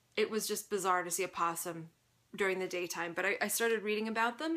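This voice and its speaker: A woman with a bright, sharp tone speaks very fast, keeping her intonation fairly even. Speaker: knitting podcast host. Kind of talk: casual chat. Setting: home fiber room, sitting on floor. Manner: occasional stutter.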